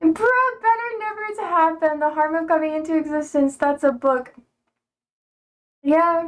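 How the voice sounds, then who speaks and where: A woman at an extremely high pitch, moderate pace, ordinary pitch variation, and long, frequent pauses. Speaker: livestreamer. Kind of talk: casual chat. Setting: livestream. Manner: speaks in raised higher register.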